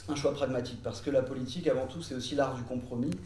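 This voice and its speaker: A man's voice with ordinary pitch variation, audible room echo, and noticeable background noise. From France (lived in French Polynesia and the Antilles). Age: 30s. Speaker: law and economics teacher, political activist. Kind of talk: interview. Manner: hesitant, many filler sounds.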